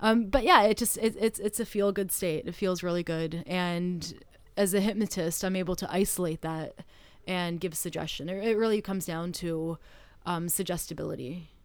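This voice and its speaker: A woman with a Canadian accent and an ordinary speaking voice talks at a moderate pace and medium pitch, her intonation fairly even. The recording is very clean, with a silent background. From Canada. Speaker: stage hypnotist. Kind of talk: interview conversation.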